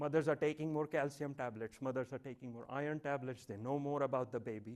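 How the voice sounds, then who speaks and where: Very fast and in a Marathi accent, a man talks at a fairly high pitch with fairly even intonation. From India, Mumbai. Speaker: professor. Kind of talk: lecture.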